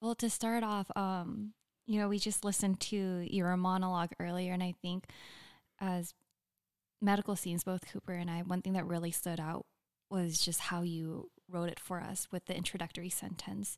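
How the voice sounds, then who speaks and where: A woman talks at medium pitch and a moderate pace. Her intonation is monotone and flat. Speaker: medical student. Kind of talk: casual interview conversation. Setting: at home.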